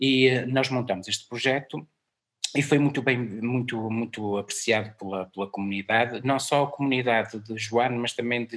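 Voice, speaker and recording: At a moderate pace, a man with an ordinary speaking voice talks in a medium pitch with fairly even intonation. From northern Portugal, Guimarães area. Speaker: music programmer and musician. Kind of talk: interview.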